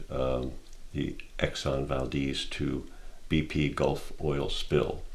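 A man talks with vocal fry and fairly even intonation. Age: 60s. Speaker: painter. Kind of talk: personal testimony. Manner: reflective, with frequent hesitations. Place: home room.

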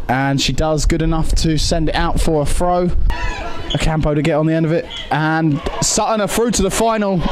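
The speaker talks at a moderate pace. Light background noise can be heard. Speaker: football commentator. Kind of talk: live-style play-by-play football commentary over match highlights. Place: stadium.

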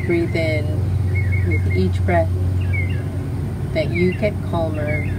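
A woman at a very slow pace against loud background noise. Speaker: meditation guide. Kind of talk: guided meditation. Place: garden. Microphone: phone near.

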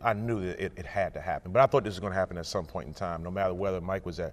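The pace is very fast. A man talks with a fairly low pitch. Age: 40s. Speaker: college basketball coach. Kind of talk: casual chat. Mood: relaxed, reminiscing, laughing. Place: hall. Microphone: lapel.

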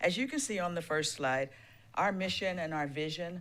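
A woman with a very deep, low voice speaks over audible room echo. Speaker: school superintendent. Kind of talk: public presentation. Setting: council meeting.

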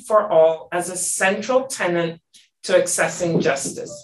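The speech moves at a fairly slow pace with audible room echo around it. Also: woman. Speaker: senior UN official, panel moderator. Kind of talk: formal panel moderation. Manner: formal. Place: office. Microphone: video call.

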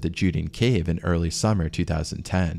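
The pitch moves in an ordinary way across an unremarkable speaking voice. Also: man. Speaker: narrator. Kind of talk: documentary storytelling narration.

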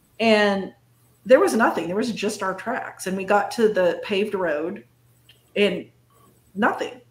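With fairly even intonation, a woman talks at a fairly slow pace amid audible room echo. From northern California. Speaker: cryptid and paranormal researcher; guest. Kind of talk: casual interview chat. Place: home room.

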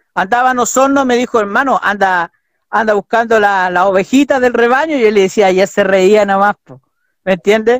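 At a moderate pace, a man speaks in a high pitch with a dry sound and no echo. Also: ordinary pitch variation. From Chile. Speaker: pastors' son. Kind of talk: interview. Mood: relaxed, friendly, smiling. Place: home room.

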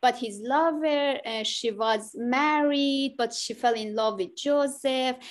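Here a woman speaks with a high pitch and ordinary pitch variation. Her pace is very slow, yet she leaves hardly any pauses. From Iran. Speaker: artist, prize winner. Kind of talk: artist talk. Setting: video call. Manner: halting. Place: home room. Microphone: video call.

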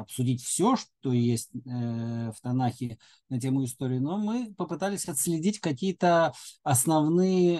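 A man speaks at a very slow pace in a dark, mellow tone. The background is quiet. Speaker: lecturer. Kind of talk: lecture. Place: home room. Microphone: webcam.

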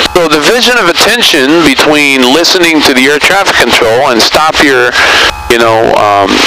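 With lively intonation and a moderate pace, a man talks over noticeable background noise in a dry sound with no echo. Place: plane. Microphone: headset.

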